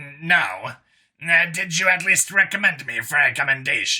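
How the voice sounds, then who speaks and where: A man's raspy put-on character voice, high in pitch, at a moderate pace. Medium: read story. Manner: earnest, hesitant.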